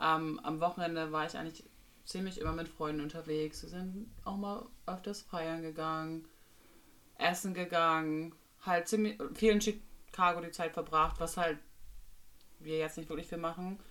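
Speaking at a moderate pace with long, frequent pauses, a woman with a fairly low pitch keeps her intonation fairly even while her loudness swings widely. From northern Germany, Bremerhaven. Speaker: nanny. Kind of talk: casual chat.

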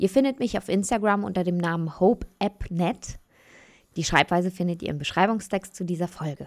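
In a very clean recording with a silent background, a woman uses a normal speaking voice at a moderate pace and medium pitch with ordinary pitch variation. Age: 30s. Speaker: podcast host. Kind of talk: scripted monologue.

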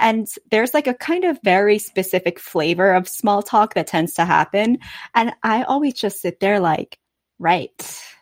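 A woman with an ordinary speaking voice and medium pitch talks at a moderate pace with lively intonation, in a very clean recording with a silent background and a dry, close sound with no echo. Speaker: podcast host. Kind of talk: interview conversation.

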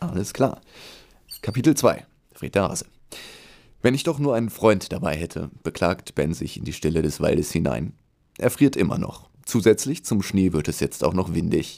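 This man's fairly low voice has a dark, mellow tone and vocal fry. He keeps a moderate pace with long, frequent pauses and very wide pitch swings. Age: 20s. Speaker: children's book author. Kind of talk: reading aloud; casual chat.

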